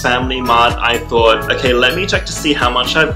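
Clear music sounds behind the voice. The speaker is a man. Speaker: vlogger. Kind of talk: casual vlog chat. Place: home room.

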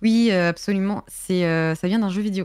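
In a quiet setting, a woman speaks at a medium pitch that varies in an ordinary way. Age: 20s. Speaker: Twitch streamer. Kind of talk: casual chat. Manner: hesitant, many fillers. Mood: relaxed, friendly. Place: home room. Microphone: studio mic.

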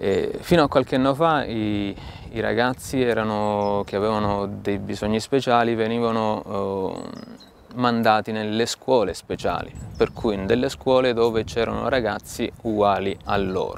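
Dry with no echo and light background noise, a man's fairly low voice moves at a fairly slow pace with fairly even intonation. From Italy. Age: 40s. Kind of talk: talk to camera about mission work. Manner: halting, with frequent fillers and repetitions. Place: garden. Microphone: lapel.

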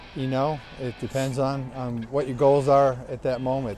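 A man speaks in a flat monotone. The sound is dry with no echo, and faint music plays in the background. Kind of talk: interview answer. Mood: proud, relaxed. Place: street.

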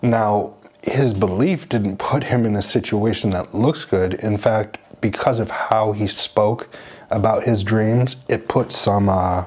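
A man speaks with an American accent at a fairly slow pace. His pitch is fairly low and his intonation fairly even. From United States. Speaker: church speaker; speaker. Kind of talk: sermon. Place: home room.

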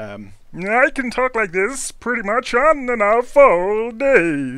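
Someone puts on a character voice with a fairly high pitch and speaks at a very slow pace.

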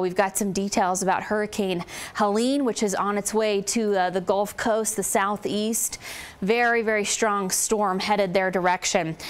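A woman speaks at a moderate pace. Her pitch variation is ordinary. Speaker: TV weather forecaster. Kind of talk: TV weather report. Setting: TV studio. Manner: conversational; informative. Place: studio.

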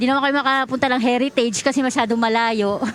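A woman at a very fast pace. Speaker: fan interviewed on the street. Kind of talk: vox pop interview.

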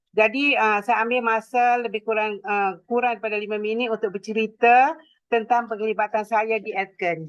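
A plain, everyday voice at a moderate pace, with fairly even intonation and hardly any pauses. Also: woman, fairly high pitch for a woman. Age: 60s. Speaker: direct sales entrepreneur. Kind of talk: testimony speech.

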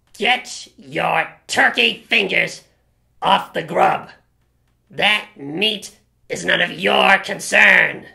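A woman at a medium pitch speaks very slowly, with long, frequent pauses. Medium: comedy sketch. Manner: aggressive, ranting.

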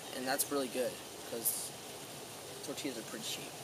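A man's dry voice, no echo, over noticeable background noise. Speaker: speaker. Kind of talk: mock-solemn eulogy monologue. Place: waterside. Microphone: camera far.

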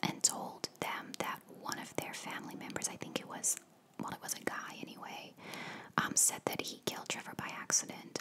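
At a moderate speed, a woman speaks in a whisper. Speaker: ASMR storyteller. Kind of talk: soft-spoken true crime narration. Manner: soft-spoken ASMR voice close to mic. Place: home room. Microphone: studio mic.

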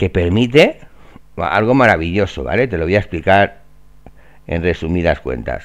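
A man with a very deep, low voice and vocal fry talks at a moderate pace with lively intonation. He leaves long, frequent pauses against a quiet background. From Valencia, Spain. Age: 40s. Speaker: real estate trainer. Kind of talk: screen-share tutorial. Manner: casual, filler-heavy.

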